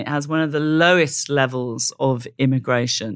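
A woman with a Welsh accent at a moderate pace. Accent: Welsh-tinged British English. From South Wales. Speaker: investigative journalist. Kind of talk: interview conversation.

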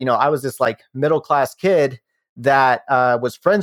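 A man speaks at a fairly quick pace with a fairly high pitch and a normal speaking voice. The sound is dry and close, with no echo. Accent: American. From US South, Shenandoah Valley of Virginia. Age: 30s. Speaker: startup founder. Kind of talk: casual interview.

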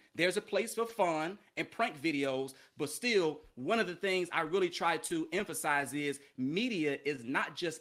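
Someone speaks at a moderate pace in a very clean recording with a silent background. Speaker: teacher and former journalist. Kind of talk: podcast interview.

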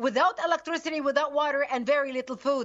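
A high-pitched woman's voice with a Lebanese accent over noticeable background noise. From Lebanon. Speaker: activist group founder. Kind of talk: interview.

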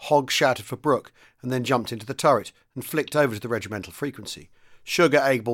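The speaker uses an unforced reading voice.

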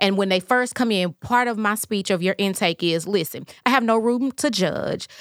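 A woman speaks in a plain, everyday voice at a medium pitch, with ordinary pitch variation, a moderate pace and hardly any pauses. Her loudness stays very even, and the very clean recording has a silent background and a dry, close sound with no echo. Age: 40s. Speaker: licensed professional counselor. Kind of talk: casual interview.

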